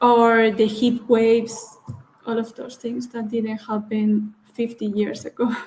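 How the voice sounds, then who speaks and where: In a Spanish accent, a woman speaks at a fairly slow pace in a fairly high, monotone voice with flat intonation, her loudness swinging widely over noticeable background noise. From Valencia, Spain. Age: 20s. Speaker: wine marketing professional from a family winery. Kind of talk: interview. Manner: hesitant, many fillers.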